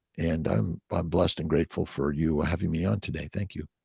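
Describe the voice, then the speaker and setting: The recording is very clean, with a silent background and a dry, close sound with no echo. A man speaks in a General American accent. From US West Coast, Los Angeles. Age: 60s. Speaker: fertility doctor. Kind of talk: podcast interview. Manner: halting, many fillers.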